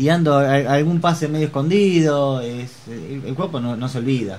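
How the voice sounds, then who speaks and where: Over noticeable background noise and audible room echo, a man talks at a moderate pace with lively intonation and a fairly high pitch. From Argentina, Chivilcoy. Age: 30s. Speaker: amateur handball player and hairdresser. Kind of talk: interview.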